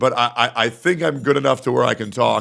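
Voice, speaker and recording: Using a hoarse, put-on character voice, a man talks at a fairly quick pace and medium pitch with ordinary pitch variation. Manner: cautious, strained.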